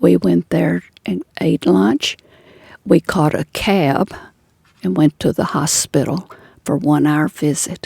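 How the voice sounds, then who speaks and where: In a dry, close recording with no echo, a woman speaks very slowly with long, frequent pauses, her very deep, low voice dark and mellow, showing vocal fry and very wide pitch swings. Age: 80s+. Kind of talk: interview answer.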